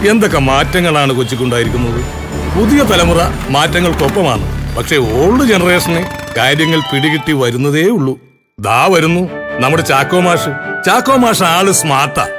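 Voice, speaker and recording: Music plays in the background as a man speaks at a fairly high pitch with lively intonation. His loudness stays very even. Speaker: voice actor, comedian. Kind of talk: comic narration in an animated ad.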